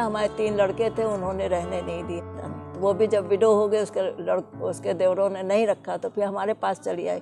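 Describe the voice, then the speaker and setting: A fairly slow pace over clear music in the background. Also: woman. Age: 60s. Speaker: e-rickshaw driver. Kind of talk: interview answer. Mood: earnest, sometimes pained. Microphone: lapel.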